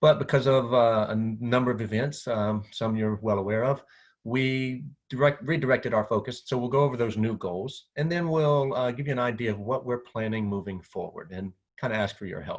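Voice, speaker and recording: A man talks fairly quickly at a medium pitch, his pitch varying in an ordinary way. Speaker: physical therapy association director. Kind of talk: presentation. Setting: screen-share video presentation. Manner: fast.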